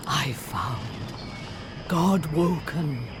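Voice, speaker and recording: Loud background noise surrounds a put-on character voice pitched in the middle range. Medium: machinima. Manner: hushed, seductive.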